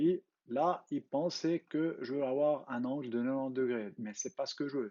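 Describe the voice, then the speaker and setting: A man with a Swiss German accent speaks at a fairly slow pace. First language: Swiss German (speaking French). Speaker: CAD tutorial creator. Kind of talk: tutorial. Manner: halting, with fillers.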